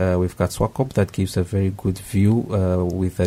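Dark, mellow tone and some breathiness in a man's voice. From Namibia. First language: not Japanese (speaking Japanese). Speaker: graduate student, former network engineer. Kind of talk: radio interview. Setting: radio studio. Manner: halting.

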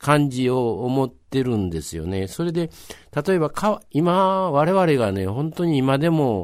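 Speaking with a Kansai accent, a man uses a fairly high pitch, a fairly slow pace and very wide pitch swings. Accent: Kansai Japanese. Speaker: local history storyteller. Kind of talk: radio interview.

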